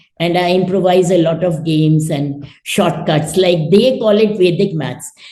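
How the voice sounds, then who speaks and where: A woman speaks at a fairly slow pace with lively intonation. Her tone is dark and mellow, and somewhat breathy. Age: 70s. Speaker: retired mathematics professor. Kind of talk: interview answer.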